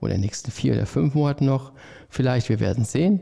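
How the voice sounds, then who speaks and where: A man speaks at medium pitch with very wide pitch swings. His tone is dark and mellow, somewhat breathy. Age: 50s. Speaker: head chef. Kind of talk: casual interview chat.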